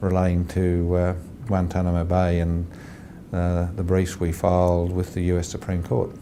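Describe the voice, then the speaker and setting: A man with an Australian accent speaks at a very deep, low pitch in a monotone, flat way, his loudness very even. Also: moderate pace. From Australia, rural New South Wales. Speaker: lawyer, law firm partner. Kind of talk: interview answer.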